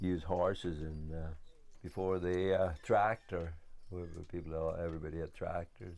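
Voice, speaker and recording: A man with a very deep, low pitch and a dark, mellow tone, in audible room echo. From west of Ireland. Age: 60s. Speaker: farmer. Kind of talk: documentary interview. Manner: halting.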